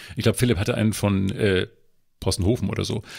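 A man with a fairly low voice and vocal fry talks at a very fast pace with lively intonation. The recording is very clean, with a silent background. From northern Germany. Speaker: culture journalist. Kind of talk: casual chat. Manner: halting, many filler sounds.

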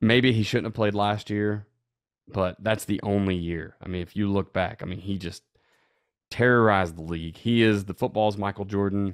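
This man has a plain, everyday voice with fairly low pitch and fairly even intonation. He talks at a moderate pace against a quiet background. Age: 30s. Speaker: football coach and podcast co-host; football coach guest. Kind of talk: casual chat. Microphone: video call.

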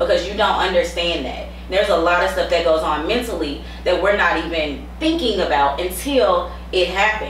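At a moderate pace, a woman's voice comes through with audible room echo and light background noise. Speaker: podcast host. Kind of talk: casual chat. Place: studio.

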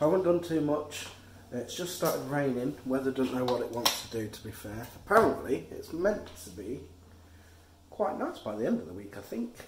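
A man's hoarse, tired-sounding voice at a moderate pace, with big swings in loudness, audible room echo and light background noise. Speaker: vlogger. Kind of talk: casual vlog chat. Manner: tired, ill, slightly hoarse voice. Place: kitchen. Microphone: phone near.

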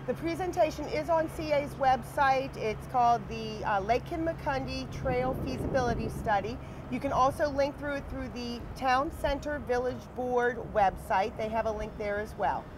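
At a moderate pace and with hardly any pauses, a woman speaks against noticeable background noise. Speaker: interviewee. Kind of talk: interview answer. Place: waterside. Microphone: lapel.

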